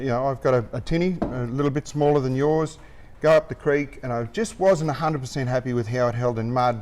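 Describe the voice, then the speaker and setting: At a fairly quick pace, a man in an Australian accent speaks with a fairly high pitch and ordinary pitch variation. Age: 60s. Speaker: anchor inventor. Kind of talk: interview.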